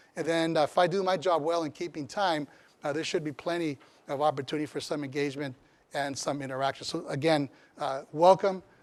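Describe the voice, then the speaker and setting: A man speaks with a Spanish accent. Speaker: community college chancellor. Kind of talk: lecture.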